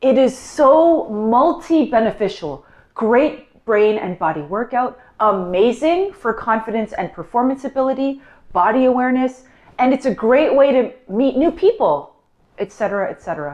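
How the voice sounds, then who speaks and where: A woman talks at a high pitch with a Canadian accent. Her pitch swings very widely. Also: moderate pace. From Canada. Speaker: vlogger. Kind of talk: personal vlog monologue.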